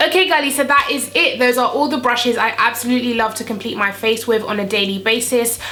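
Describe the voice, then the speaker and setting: A high-pitched woman at a very fast pace with hardly any pauses and ordinary pitch variation, amid audible room echo and noticeable background noise. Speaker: beauty youtuber. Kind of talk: makeup tutorial. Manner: animated.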